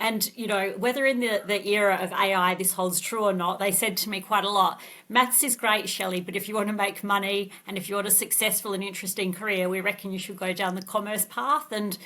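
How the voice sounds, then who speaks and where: This woman has an Australian accent and a medium pitch, with a bright, sharp tone. She talks at a fairly quick pace with hardly any pauses and fairly even intonation. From Australia, Adelaide. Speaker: tech company CEO. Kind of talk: podcast interview.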